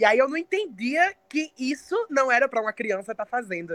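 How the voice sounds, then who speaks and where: Using an unremarkable speaking voice, a woman speaks at a moderate pace with lively intonation. The sound is dry and close, with no echo. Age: 20s. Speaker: poet and singer. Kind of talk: interview. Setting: remote call, camera off.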